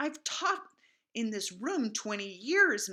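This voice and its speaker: A female-sounding, put-on character voice growls at a fairly high pitch. It moves at a fairly slow pace with very wide pitch swings. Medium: read story. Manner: stern, scolding.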